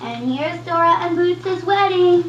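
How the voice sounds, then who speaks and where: A man puts on a squeaky character voice at an extremely high pitch, speaking at a moderate pace over clear background noise. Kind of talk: parody children's story time. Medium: comedy sketch. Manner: mock-cheerful, sarcastic, rambling.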